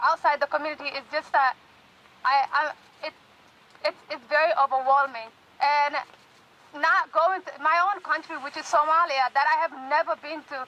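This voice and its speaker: A woman uses a raised, projected voice with a high pitch and bright, sharp tone. Her intonation stays fairly even. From Somali refugee camp, East Africa. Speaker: university student and community activist. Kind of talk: rally speech. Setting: outdoor rally with amplification. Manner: halting.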